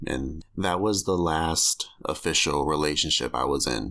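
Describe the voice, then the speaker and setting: A man speaks with a very deep, low pitch and vocal fry. His pitch varies in an ordinary way, on a very clean recording with a silent background. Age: 20s. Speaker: podcaster telling memoir. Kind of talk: scripted-style personal memoir narration. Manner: candid, casual, conversational.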